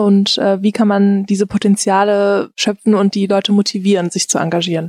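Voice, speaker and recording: A dark, mellow tone at a fairly quick pace, with a dry, close sound and no echo. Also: woman. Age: 20s. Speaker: podcast host. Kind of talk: interview.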